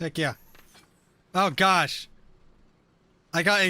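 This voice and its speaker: A man projects a raised, high-pitched voice. The tone is bright and sharp. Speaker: gaming streamer. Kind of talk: live stream chat while gaming. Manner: slurs words at times; animated.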